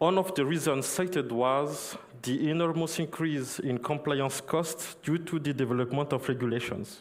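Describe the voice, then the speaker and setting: With a non-native accent and a fairly high pitch, a man talks at a moderate pace with hardly any pauses, ordinary pitch variation and very even loudness, amid noticeable background noise and audible room echo. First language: not English. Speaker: conference speaker on crypto compliance. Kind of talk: conference talk. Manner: halting, many fillers.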